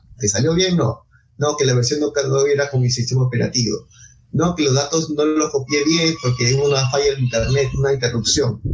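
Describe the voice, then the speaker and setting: A man with a fairly high, somewhat breathy voice speaks at a fairly quick pace with very even loudness. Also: fairly even intonation. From Peru, Ica. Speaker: bioinformatics society vice president, biologist. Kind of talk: interview.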